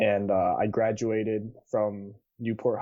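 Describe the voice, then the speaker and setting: A man's fairly low, fairly even voice with a West Coast US accent, at a very slow pace. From Seattle area, US Pacific Northwest. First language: Cantonese. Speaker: college student. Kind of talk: podcast interview.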